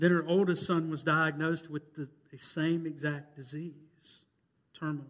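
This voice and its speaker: Amid audible room echo, a man speaks at a moderate pace and a fairly high pitch in a monotone, flat intonation. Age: 30s. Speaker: pastor. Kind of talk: Baptist Sunday sermon, pastoral storytelling of a parishioner's grief and revival. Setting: church. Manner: earnest, building emotional preacher cadence; conversational with repetitions and fillers.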